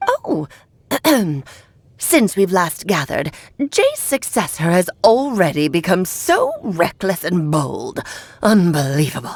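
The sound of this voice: Using a put-on character voice at medium pitch, a woman speaks at a fairly slow pace with long, frequent pauses.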